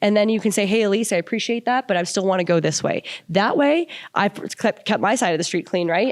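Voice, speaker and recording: A woman talks in an animated tone. Her pace is very fast. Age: 40s. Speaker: real estate agent. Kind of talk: interview.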